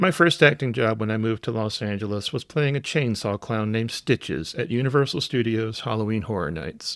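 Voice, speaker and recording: The recording is very clean with a silent background, carrying an unremarkable speaking voice at a moderate pace with lively intonation. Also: man. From US South, South Carolina low country. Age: 60s. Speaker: podcast host. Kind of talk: podcast monologue.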